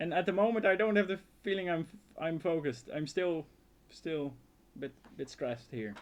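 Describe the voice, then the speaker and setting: In a Dutch accent, a man with a fairly high pitch speaks at a moderate pace with lively intonation. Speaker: outdoor survival youtuber. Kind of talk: casual live stream Q&A. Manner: halting, repeats words.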